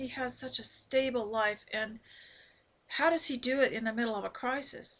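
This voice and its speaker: Her tone bright and sharp, a woman talks at a moderate pace with a high pitch and fairly even intonation. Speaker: homemaking vlogger. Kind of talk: casual talk to camera. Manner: unscripted, halting with fillers.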